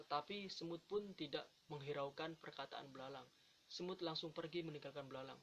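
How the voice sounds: A man speaks at a fairly quick pace in a fairly high, fairly bright voice with ordinary pitch variation.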